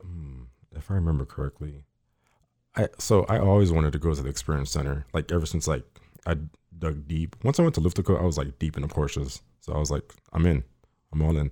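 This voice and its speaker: A man with a very deep, low pitch and a dark, mellow tone talks at a very fast pace with ordinary pitch variation and long, frequent pauses. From Miami, Florida. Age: young. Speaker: car enthusiast. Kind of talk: casual interview chat. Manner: shy, reserved.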